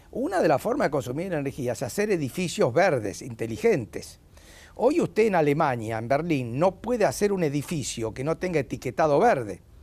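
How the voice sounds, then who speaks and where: A man's fairly high voice at a fairly quick pace, with very wide pitch swings. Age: 80s+. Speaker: economist, education expert. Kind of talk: TV interview.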